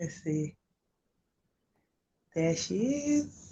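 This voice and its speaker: A woman speaks with vocal fry and very wide pitch swings. Her voice carries a dark, mellow tone. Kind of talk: livestream interview host. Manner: nervous.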